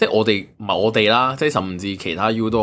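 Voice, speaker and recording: Moving at a fairly quick pace, a man with an unremarkable speaking voice talks at a fairly low pitch with ordinary pitch variation. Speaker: podcast co-host. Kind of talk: casual chat.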